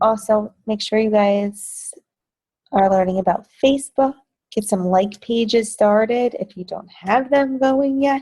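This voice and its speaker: Slowish and somewhat breathy, a woman with a New Jersey accent talks in a fairly high, dark and mellow voice with ordinary pitch variation. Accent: New Jersey American. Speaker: fitness business team coach. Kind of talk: team training call. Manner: casual, chatty.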